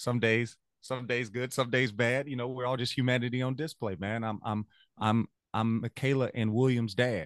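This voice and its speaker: A man speaks at a moderate pace with a Louisiana accent, his pitch medium and its variation ordinary. The tone is animated, and the sound is dry and close with no echo over a quiet background. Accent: US Southern (Louisiana). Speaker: music teacher. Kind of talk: casual interview chat. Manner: animated, motivational.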